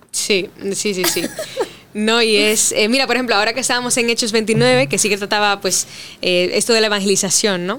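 A woman with a plain, everyday voice, fairly high pitch, ordinary pitch variation, very even loudness and a fairly quick pace. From Dominican Republic. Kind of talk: casual chat.

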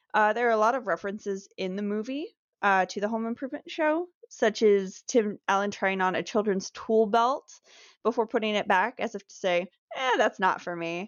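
A woman talks in a normal speaking voice at a fairly high pitch and a moderate pace. Her pitch varies in an ordinary way while her loudness swings widely. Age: 20s. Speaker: podcast co-host, host's wife. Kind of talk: casual chat.

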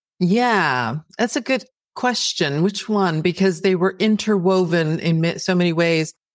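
A woman with a plain, everyday voice speaks at a fairly slow pace and a fairly low pitch, with lively intonation and very even loudness. The recording is very clean, with a silent background. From Texas (El Paso), raised partly in Greece. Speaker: novelist. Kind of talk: interview.

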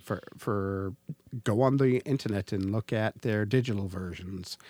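An unremarkable speaking voice with a Canadian accent moves at a moderate pace with ordinary pitch variation. The sound is dry and close, without echo. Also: man. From Canada. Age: 40s. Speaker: podcast host. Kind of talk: casual chat.

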